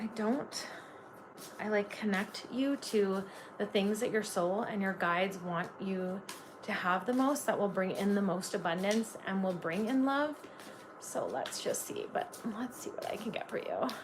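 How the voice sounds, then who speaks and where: A woman's medium-pitched voice with a slight Canadian accent, fairly slow in pace and ordinary in pitch variation, with audible room echo. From Canada. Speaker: tarot reader. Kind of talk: live-stream tarot reading. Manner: casual, filler-heavy.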